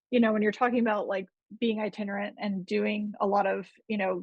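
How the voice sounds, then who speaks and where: A woman talks at a moderate pace with a slight Gulf Coast accent. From US Gulf Coast. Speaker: podcast host and interviewer. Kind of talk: interview. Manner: casual, rambling.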